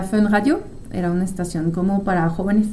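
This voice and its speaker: The woman's voice carries audible room echo. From France. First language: French (speaking Spanish). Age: 30s. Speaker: psychologist and podcast host. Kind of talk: casual monologue.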